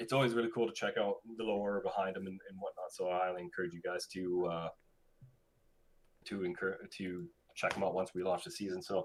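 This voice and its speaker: Though his pace is fairly quick, the man leaves long, frequent pauses. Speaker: community manager presenting game update. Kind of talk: live stream briefing with Q&A. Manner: fast; halting, many fillers.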